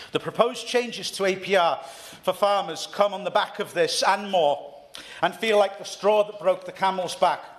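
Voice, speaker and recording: Speaking with a North East Welsh accent, a man has a high pitch and a moderate pace. Noticeable background noise is present. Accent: North East Wales. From North East Wales. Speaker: member of parliament. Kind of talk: parliamentary speech. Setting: parliament debate chamber. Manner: formal.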